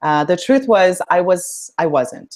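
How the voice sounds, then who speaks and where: A woman's voice with ordinary pitch variation. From India, moved to Canada at 11. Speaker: dance instructor and aspiring public speaker. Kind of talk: interview. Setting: live stream video call.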